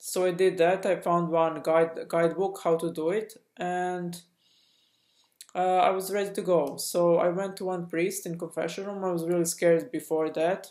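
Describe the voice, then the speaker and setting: A woman talks at a moderate pace in a dark, mellow tone, fairly low in pitch, with monotone, flat intonation. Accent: non-native. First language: not English. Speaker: spiritual coach and channel host. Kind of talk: personal testimony vlog. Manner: halting, many fillers and restarts.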